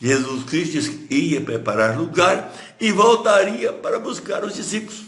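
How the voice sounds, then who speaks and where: A man speaks at a fairly slow pace with a high pitch. Audible room echo surrounds his voice. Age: 80s+. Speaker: pastor. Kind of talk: sermon. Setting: livestream.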